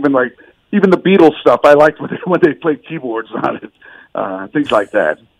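Recorded dry and close with no echo, a man talks at a fairly quick pace. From US South (Miami, Atlanta, Austin), born in the Bronx. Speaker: musician. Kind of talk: radio interview.

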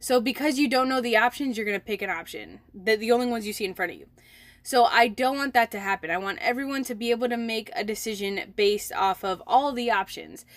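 A woman speaks with an American accent at a very fast pace. Her pitch varies in an ordinary way. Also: fairly high pitch for a woman. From Milwaukee, Wisconsin, US. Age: 20s. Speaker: podcast host and entrepreneur. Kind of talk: casual solo podcast talk. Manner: chatty, many fillers.

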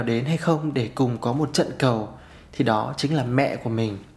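A man with a somewhat breathy voice speaks at a moderate tempo, his pitch moving in an ordinary way. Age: 30s. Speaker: podcast host. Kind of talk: solo podcast monologue.

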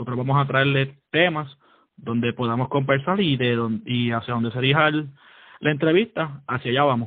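This man has a plain, everyday voice at a medium pitch with ordinary pitch variation. He keeps a moderate pace. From Puerto Rico (San Juan). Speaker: podcast co-host, army sergeant. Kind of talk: casual chat.

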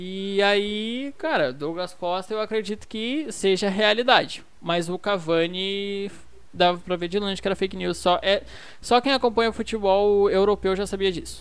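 The pace of this woman's speech is moderate. Her pitch variation is ordinary. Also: medium pitch for a woman. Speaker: football podcast host. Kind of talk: casual chat. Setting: at home.

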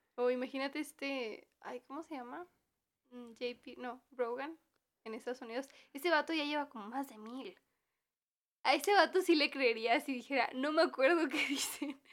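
A woman speaks with a Mexican accent at a moderate pace, her voice high with ordinary pitch variation. Her loudness swings widely from moment to moment. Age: 20s. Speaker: podcast co-host, university student. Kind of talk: casual chat.

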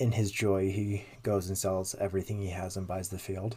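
A man speaks at a moderate pace and a fairly low pitch, somewhat breathy. His tone is dark and mellow, and his intonation is monotone and flat. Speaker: podcast host. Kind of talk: discussion of theology, casual chat.

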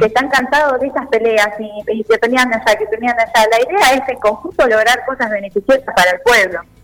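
Over noticeable background noise, a woman talks at a fairly quick pace with hardly any pauses, her fairly high voice showing ordinary pitch variation. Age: 20s. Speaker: local political candidate. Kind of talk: radio interview.

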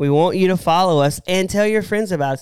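Ordinary pitch variation from a man in a Southern US accent. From American South. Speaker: podcast co-host. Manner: casual, joking.

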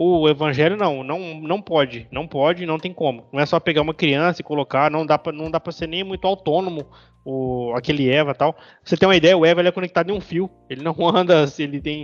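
In a normal speaking voice, a man talks at a fairly quick pace with hardly any pauses, fairly high pitch and fairly even intonation, recorded dry and close with no echo. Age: 20s. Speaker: podcast co-host. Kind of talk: casual chat.

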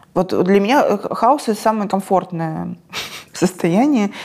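An unremarkable speaking voice from a woman, medium-pitched and moderately paced. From Krasnodar, southern Russia. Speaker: screenwriter and film director. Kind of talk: interview conversation.

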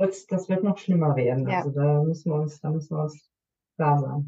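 Speaking at a fairly quick pace, a woman uses a very deep, low pitch. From Germany. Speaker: nurse and intercultural coach. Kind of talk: podcast interview.

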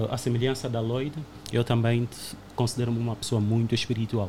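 A somewhat breathy man speaking at a fairly quick pace. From Angola. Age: 30s. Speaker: podcast guest. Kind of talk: casual chat.

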